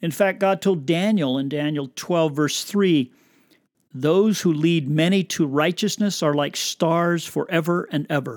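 A man talks at a fairly slow pace in a high pitch. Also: ordinary pitch variation. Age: 70s. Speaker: podcast host and missionary. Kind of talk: religious teaching monologue. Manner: conversational.

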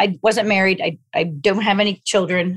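At a moderate pace, a woman talks in an ordinary speaking voice at medium pitch. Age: 50s. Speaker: golf fitness trainer. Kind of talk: interview.

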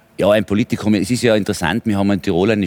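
A man's fairly low voice, dry and close with no echo, on a very clean recording over a silent background. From Tyrol, Austria. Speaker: politician and businessman. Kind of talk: heated debate.

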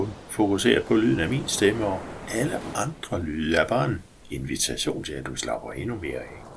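A man's fairly low voice moves through very wide pitch swings. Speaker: hypnosis guide. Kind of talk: guided meditation. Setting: recorded audio for headphones. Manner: slow, soothing, calm; gentle, hypnotic, with long pauses.

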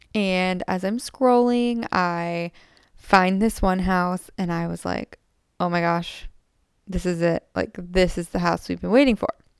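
At a fairly slow pace, a woman speaks at a medium pitch with ordinary pitch variation, in a dry, close sound with no echo. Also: very clean recording, silent background. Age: 20s. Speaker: podcast host. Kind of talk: casual monologue. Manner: animated.

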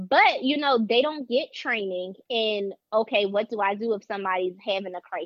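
At a moderate pace, a woman with a Philadelphia accent speaks in a fairly high voice with ordinary pitch variation. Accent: Philadelphia American English. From Philadelphia, US. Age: 30s. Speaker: mental health counselor. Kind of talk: casual chat.

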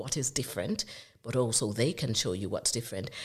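This woman's pitch is very deep and low. It varies in an ordinary way. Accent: Jamaican. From Jamaica. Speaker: consultant dermatologist. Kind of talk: podcast interview.

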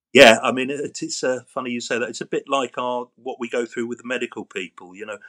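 In a London accent, a man speaks at a moderate pace with a dry, close sound and no echo. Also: quiet background. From London, England. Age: 50s. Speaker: patient sharing chronic illness story. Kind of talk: interview testimony. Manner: halting.

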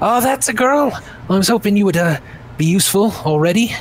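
Doing a put-on character voice, a man sounds high-pitched and gruff, holding very even loudness at a moderate pace over clear background noise. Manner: commanding.

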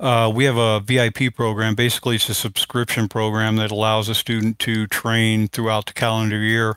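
In a very clean recording with a silent background and a dry, close sound with no echo, a man uses a normal speaking voice at medium pitch, moving at a fairly quick pace with hardly any pauses and very even loudness. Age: 50s. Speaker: firearms instructor. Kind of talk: casual interview.

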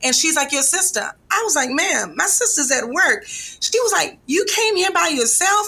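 Raising and projecting her voice, a woman speaks at a fairly quick pace in a bright, sharp tone with very wide pitch swings. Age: 50s. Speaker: breast cancer survivor and patient advocate. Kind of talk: interview testimony.

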